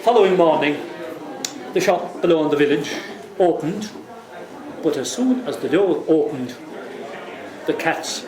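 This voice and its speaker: A high-pitched man at a moderate pace, with lively intonation, long and frequent pauses, and noticeable background noise. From Ireland. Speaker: traditional Irish storyteller. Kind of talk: live storytelling to a pub audience. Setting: pub, live audience.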